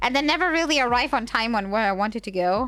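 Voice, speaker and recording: A woman speaks at fairly high pitch in a strong German accent. The recording is very clean, with a silent background. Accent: heavy German. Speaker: vtuber streamer. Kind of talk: casual chat. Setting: livestream.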